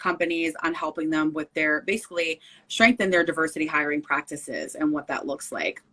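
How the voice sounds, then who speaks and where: A woman with an American accent speaks fairly quickly in a fairly low pitch and a bright, sharp tone. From northern New Jersey, Essex County. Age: 30s. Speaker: diversity consultant and podcast guest. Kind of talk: interview conversation.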